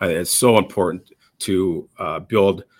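In a very clean recording with a silent background, a man talks with a Minnesota accent. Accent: Upper Midwest (Minnesota) American. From Minnesota, US Upper Midwest. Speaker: police chief. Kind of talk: interview. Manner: halting, frequent repetitions.

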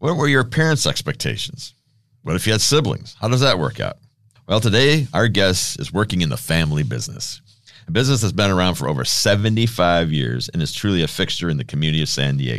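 At a fairly quick pace, a man speaks with vocal fry and very wide pitch swings. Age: 60s. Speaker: podcast host. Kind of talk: interview.

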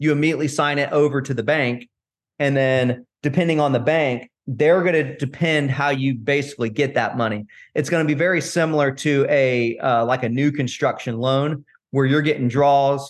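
Here is a man with an American accent and an ordinary speaking voice. His loudness stays very even at a moderate pace. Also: fairly high pitch for a man, fairly even intonation. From Florida, Tampa. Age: 40s. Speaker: real estate investor and ultra runner. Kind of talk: casual interview chat.

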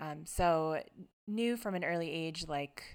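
A woman with an American accent has a very deep, low pitch. The recording is very clean, with a silent background. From South America, then near New York. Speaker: podcast host. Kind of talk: casual chat.

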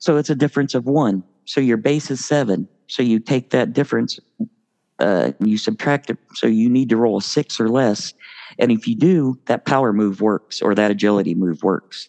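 With an ordinary speaking voice, a man talks at a moderate pace and medium pitch, his loudness very even and his pitch variation ordinary. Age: 50s. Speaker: tabletop wrestling game fan. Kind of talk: casual chat.

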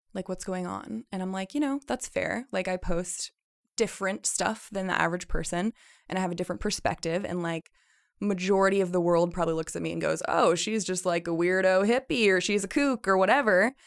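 A woman with an American accent speaks in a normal speaking voice at a medium pitch and a fairly quick pace with ordinary pitch variation, the sound dry and close with no echo. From rural Idaho, US. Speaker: wellness guide. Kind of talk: casual interview.

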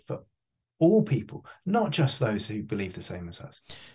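A man speaks with an English accent in a dark, mellow tone, somewhat breathy, over a quiet background. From England. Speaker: charity chief executive. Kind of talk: interview.

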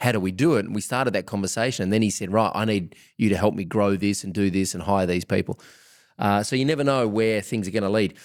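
In a very clean recording with a silent background, a man speaks very fast with an Australian accent. His pitch is fairly low, with ordinary variation. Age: 40s. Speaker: podcast host. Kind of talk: podcast interview.

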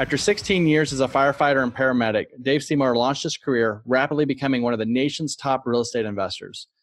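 A man speaks at a medium pitch and a very fast pace, with hardly any pauses and ordinary pitch variation. Music plays in the background. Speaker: podcast host. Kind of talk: scripted intro then interview chat.

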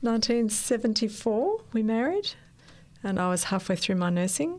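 A woman with an Australian accent talks at a moderate pace in a fairly high pitch. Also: very even loudness. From Australia, Sydney. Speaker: nurse and missionary. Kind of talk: interview.

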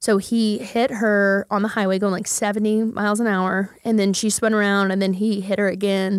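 In an American accent, a woman speaks at a medium pitch and moderate pace with monotone, flat intonation, very even loudness and hardly any pauses, on a very clean recording with a silent background. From Oklahoma, Midwest City. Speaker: marketing company founder and CEO. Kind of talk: casual interview.

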